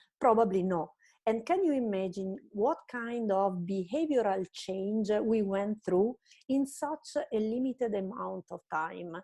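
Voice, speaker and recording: A woman with an Italian accent, medium in pitch, with ordinary pitch variation and a very slow pace. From Italy. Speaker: marketing strategist. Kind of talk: online presentation lecture.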